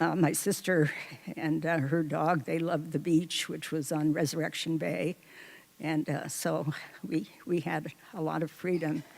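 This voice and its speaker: Her pitch is very deep and low, with vocal fry. The woman speaks at a fairly slow pace with fairly even intonation. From Alaska, Seward. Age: 80s+. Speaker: storyteller. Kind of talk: personal storytelling. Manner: hesitant, many fillers and repeats.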